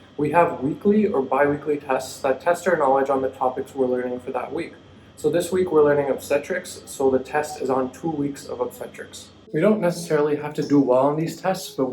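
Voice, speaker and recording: A man with a fairly high pitch and ordinary pitch variation talks over music in the background. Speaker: medical student vlogger. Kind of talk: vlog narration.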